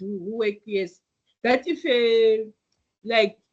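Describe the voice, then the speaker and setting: Speaking at a fairly slow pace, a woman has a fairly high pitch. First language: not English. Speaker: IT teacher. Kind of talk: online class lecture. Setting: online video class. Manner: hesitant, with fillers and restarts.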